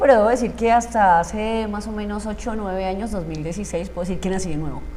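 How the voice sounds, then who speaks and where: With a fairly high voice and lively intonation, a woman talks at a fairly quick pace in a room with audible echo. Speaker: emotional coach, former radio announcer. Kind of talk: interview testimony.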